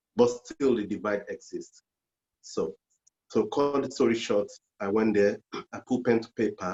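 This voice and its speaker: A man with a Nigerian accent talks at a moderate pace, taking long, frequent pauses, his loudness swinging widely. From Nigeria, Lagos. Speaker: journalist and poet. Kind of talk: interview. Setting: video call.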